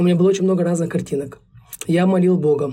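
A man's high-pitched voice, dark and mellow in tone, with fairly even intonation. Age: 20s. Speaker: young father, producer. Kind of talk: podcast interview.

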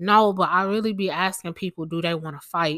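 On a very clean recording with a silent background, a woman with a fairly low pitch speaks at a fairly quick pace, her intonation fairly even and the sound dry and close with no echo. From Houston, Texas. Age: 30s. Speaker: podcaster. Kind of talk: casual monologue. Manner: calm.

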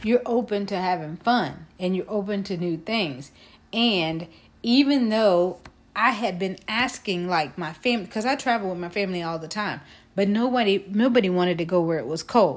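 In a normal speaking voice with an American accent, the speaker moves at a moderate pace with lively intonation on a very clean recording with a silent background. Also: woman. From Texas (Fort Worth area). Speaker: podcast co-host, educator. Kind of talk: casual chat.

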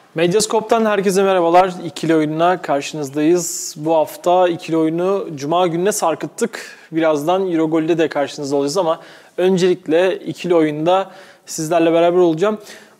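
A man's high-pitched voice at a fairly quick pace, with fairly even intonation and very even loudness, over noticeable background noise. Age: 20s. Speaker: sports podcast host. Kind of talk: casual chat. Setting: studio.

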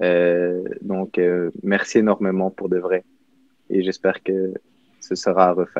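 In a very deep, low voice, a man talks at a very slow pace in a flat monotone, with long, frequent pauses. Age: young. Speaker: prep school student, panelist. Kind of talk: panel discussion.

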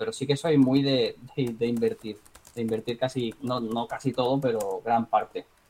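A medium-pitched man with an unremarkable speaking voice talks at a moderate pace. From Spain, Marbella (Málaga, Andalusia). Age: 30s. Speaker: trader and entrepreneur, former guitarist. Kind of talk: casual interview.

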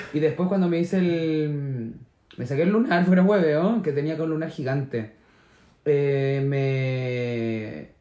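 A man speaks at a very slow pace with a fairly high pitch. His tone is dark and mellow, with ordinary pitch variation. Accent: Chilean. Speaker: podcast co-host. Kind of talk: casual chat.

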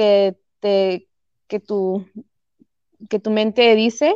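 In a Chihuahua accent, a woman speaks with ordinary pitch variation in a dry, close sound with no echo. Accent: sounds like Chihuahua, Mexico. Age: 30s. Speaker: fitness and weight-loss transformation guest. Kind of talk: casual interview.

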